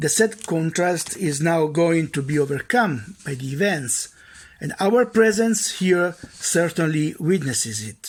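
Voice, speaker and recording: A man with an Italian accent, high-pitched, lively in intonation, at a fairly slow pace. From Italy. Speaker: judge. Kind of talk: conference speech. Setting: recorded video message. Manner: formal.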